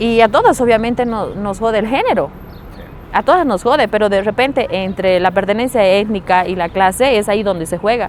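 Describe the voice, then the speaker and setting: Behind a woman's fairly quick speech sits noticeable background noise. Her pitch is fairly high, with ordinary variation. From Bolivia, Potosí (rural highland community). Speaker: feminist activist, psychologist. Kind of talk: interview.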